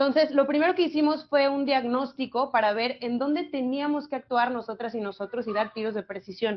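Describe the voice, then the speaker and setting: At a fairly quick pace, a woman talks in a high voice. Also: ordinary pitch variation. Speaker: youth government official. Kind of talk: panel talk. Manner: fast.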